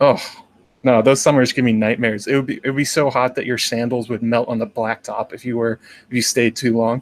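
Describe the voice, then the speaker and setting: This man talks at a fairly quick pace. His intonation is monotone and flat. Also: medium pitch for a man. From Massachusetts, then California and East Coast. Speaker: magician, fandom YouTuber. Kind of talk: casual interview chat.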